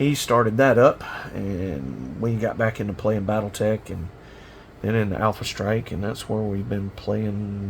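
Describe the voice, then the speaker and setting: In a Southern US accent, a man talks at a moderate pace and fairly low pitch with a relaxed tone. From South Carolina. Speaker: miniature painting hobbyist. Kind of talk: casual hobby tutorial monologue. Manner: relaxed, many fillers.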